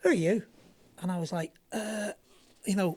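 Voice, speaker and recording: This woman's voice is somewhat breathy. She speaks in an English accent. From northern England, Southport. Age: 50s. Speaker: former pro skateboarder. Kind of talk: casual interview chat.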